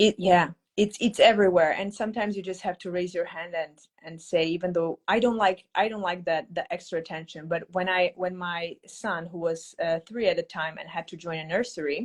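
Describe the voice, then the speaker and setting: Speaking with a non-native accent, a woman at a medium pitch moves at a fairly quick pace with hardly any pauses, fairly even intonation and big swings in loudness. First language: not English. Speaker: English teacher. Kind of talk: casual chat. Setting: live video stream.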